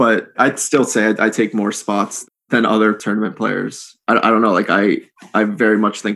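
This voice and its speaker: The man has an American accent and a fairly low pitch, speaking at a fairly quick pace. His intonation is monotone and flat, in a very clean recording with a silent background. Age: 30s. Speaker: professional poker player. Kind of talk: casual interview. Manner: hesitant, filler-heavy.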